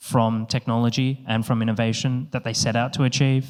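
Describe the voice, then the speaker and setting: With an Australian accent, a man talks at a moderate pace and medium pitch. His intonation is monotone and flat, and the recording is very clean with a silent background. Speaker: company co-founder, panel moderator. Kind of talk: conference panel introduction. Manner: hesitant, many fillers.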